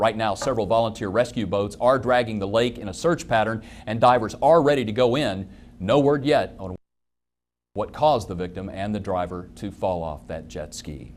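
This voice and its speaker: With an ordinary speaking voice, a man talks at a moderate pace with ordinary pitch variation. His loudness swings widely. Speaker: TV news anchor and reporter. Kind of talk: TV news anchor read. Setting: studio.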